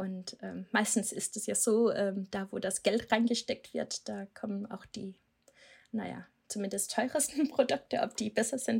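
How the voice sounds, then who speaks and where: Using vocal fry, a woman speaks at a moderate pace and a fairly high pitch, with big swings in loudness. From Denmark. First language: Danish (speaking German). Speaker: SEO manager. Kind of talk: podcast interview. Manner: hesitant, many filler sounds.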